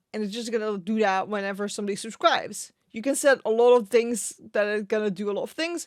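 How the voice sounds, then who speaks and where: The speaker has a strong Dutch accent and ordinary pitch variation. The recording is very clean, with a silent background. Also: woman. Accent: Dutch accent, quite strong. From Netherlands. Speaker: Twitch streamer and streaming tips YouTuber. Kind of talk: tutorial.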